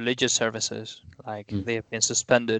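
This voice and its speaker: The recording is dry and close, with no echo. A man speaks at medium pitch in a bright, sharp tone with monotone, flat intonation. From Spain. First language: Spanish. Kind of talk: casual chat.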